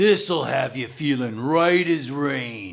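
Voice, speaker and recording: Using a put-on character voice, a man speaks at a medium pitch. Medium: read story. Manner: casual, says "man" a lot.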